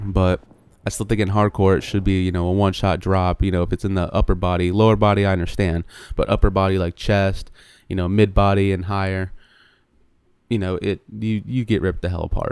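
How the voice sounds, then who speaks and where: The recording is very clean, with a silent background. A man with a very deep, low pitch speaks fairly quickly in a flat monotone. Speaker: gaming youtuber. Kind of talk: gameplay commentary. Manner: casual, hesitant with fillers.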